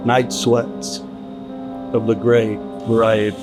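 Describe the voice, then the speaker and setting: Music plays behind a man with an American accent who speaks very slowly at a fairly low pitch. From Los Angeles. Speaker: stand-up comedian. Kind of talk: spooky podcast intro narration.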